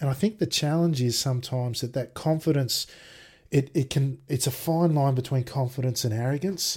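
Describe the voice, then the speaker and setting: Somewhat breathy, fairly high male voice with an Australian accent, ordinary pitch variation and a moderate pace. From Australia, Sydney. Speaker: sim racer and IT worker. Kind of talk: casual interview chat. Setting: video call.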